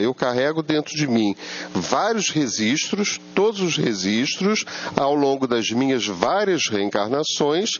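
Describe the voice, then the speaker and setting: Very wide pitch swings at a fairly slow pace, over noticeable background noise. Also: man. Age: 70s. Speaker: spiritist lecturer. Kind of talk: lecture. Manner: conversational, asks audience rhetorical questions.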